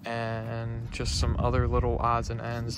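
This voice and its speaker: Noticeable background noise sits under a man speaking at a medium pitch. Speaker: car hobbyist vlogger. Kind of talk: casual video walkthrough. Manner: hesitant, many fillers.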